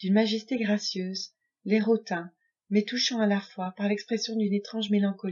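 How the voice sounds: A natural reading voice is heard. Behind it, the background is quiet.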